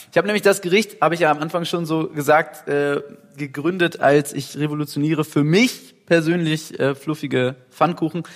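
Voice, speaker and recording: Fairly even intonation from a man with a fairly high voice, moving at a moderate pace. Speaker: rock singer. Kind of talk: casual chat. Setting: recorded while cooking in a kitchen.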